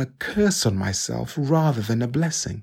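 A man's somewhat breathy, medium-pitched voice at a fairly slow pace, with very wide pitch swings, on a very clean recording with a silent background. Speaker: scripture reader. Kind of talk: reading aloud.

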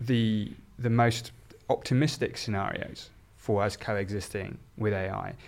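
The speaker is a man with a southern English accent. His medium pitch follows fairly even intonation. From southern England, South Oxfordshire. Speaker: neuroscience professor. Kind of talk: discussion.

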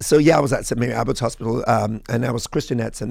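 His tone animated and his pitch medium with ordinary variation, a man speaks with vocal fry. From London-born, raised partly in Nigeria. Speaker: pastor and political candidate. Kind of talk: interview. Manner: animated, preacher-like.

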